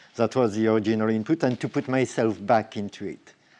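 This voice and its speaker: With a slight French accent, a man speaks in a dark, mellow tone at medium pitch. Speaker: robotic artist. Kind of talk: Q&A at symposium. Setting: symposium talk with audience. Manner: halting, many fillers and restarts.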